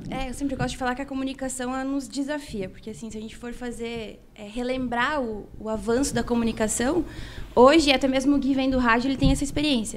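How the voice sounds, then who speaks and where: A woman with a high pitch talks at a very fast pace. Her pitch variation is ordinary. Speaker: cattle auctioneer and online communicator. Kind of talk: casual chat.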